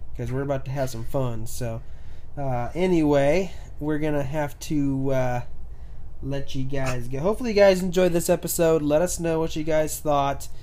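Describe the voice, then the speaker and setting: A man with a fairly high voice and a dark, mellow tone speaks at a moderate pace. His pitch varies in an ordinary way, and audible room echo surrounds him. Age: 20s. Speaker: podcast host. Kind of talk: casual chat. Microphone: new microphone.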